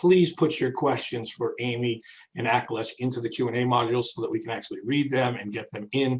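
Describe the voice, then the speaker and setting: A man speaks at a very fast pace. His voice is medium in pitch and somewhat breathy. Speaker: webinar host. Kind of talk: live webinar moderation. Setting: video call. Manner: animated.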